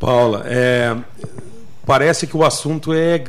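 The speech comes at a fairly slow pace. Noticeable background noise sits under it. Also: man. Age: 50s. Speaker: municipal agriculture secretary. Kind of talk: radio interview. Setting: radio studio.

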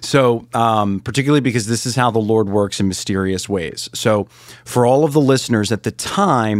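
A man with a plain, everyday voice speaks in a fairly low pitch with ordinary pitch variation. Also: very clean recording, silent background. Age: 40s. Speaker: mission trip volunteer. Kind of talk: interview testimony.

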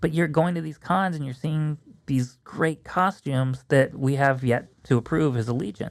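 A man with a normal speaking voice talks at a moderate pace and fairly high pitch, with ordinary pitch variation and hardly any pauses. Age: 40s. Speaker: costume hobbyist. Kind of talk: casual chat.

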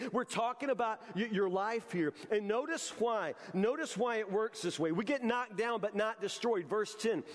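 Against noticeable background noise, a man speaks with a high pitch and lively intonation. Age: 50s. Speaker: pastor. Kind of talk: sermon. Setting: church. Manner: repetitive false starts.

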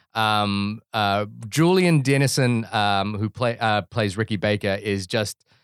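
In a very clean recording with a silent background, a man with a New Zealand accent speaks at a very slow pace in a dry, close sound with no echo. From New Zealand (born in Fiji, moved at ten, Indian community). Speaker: podcast co-host, film reviewer. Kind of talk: casual chat.

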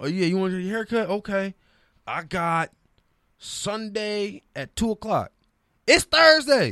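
A man's high, raised and projected voice with a bright, sharp tone and an American accent, fairly slow with long, frequent pauses and lively intonation, in a dry, close sound with no echo. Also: very clean recording, silent background. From New Orleans, raised partly in Detroit. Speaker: sports TV producer. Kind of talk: casual chat. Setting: studio.

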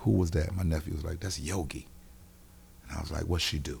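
At a very fast pace, a man talks in a very deep, low pitch with ordinary pitch variation while noticeable background noise plays behind him. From US South, Wilmington, North Carolina. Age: 50s. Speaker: comedian and radio host. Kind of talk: casual chat. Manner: animated.

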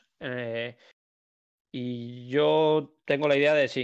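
With fairly even intonation and a medium pitch, a man talks in an unremarkable speaking voice. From Spain, Madrid area (Alcobendas). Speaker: professional padel player. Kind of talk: casual chat. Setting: Twitch live stream.

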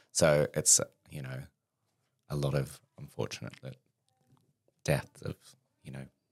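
A man with an Australian accent speaks at a fairly slow pace with a very deep, low pitch, vocal fry and monotone, flat intonation. His loudness swings widely, and he leaves long, frequent pauses. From Australia, Perth. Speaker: podcast guest. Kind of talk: casual chat. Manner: humorous deadpan delivery.

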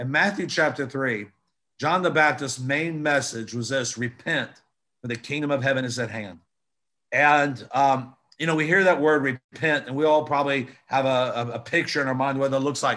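A man's fairly high, bright, sharp voice with ordinary pitch variation at a moderate pace. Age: 50s. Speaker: traveling preacher and prophet. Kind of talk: sermon. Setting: video call.

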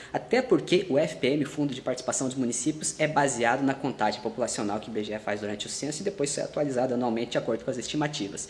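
A man talks very fast with hardly any pauses. His voice sits at a medium pitch and is somewhat breathy. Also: ordinary pitch variation. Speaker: federal civil servant and video creator. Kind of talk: online video tutorial.

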